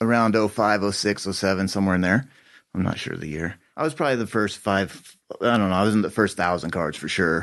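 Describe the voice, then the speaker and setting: A very fast-talking man with an American accent, fairly low in pitch, with ordinary pitch variation. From Colorado, Boulder County. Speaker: cannabis grower and dispensary owner. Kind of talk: casual chat.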